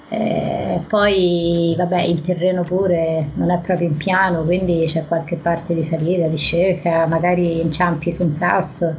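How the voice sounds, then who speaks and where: Over noticeable background noise, a woman with a fairly low pitch speaks at a fairly slow pace in a monotone, flat intonation, with very even loudness and hardly any pauses. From Lazio, province of Viterbo. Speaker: psychologist. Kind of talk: casual interview chat. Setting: remote call from a country house.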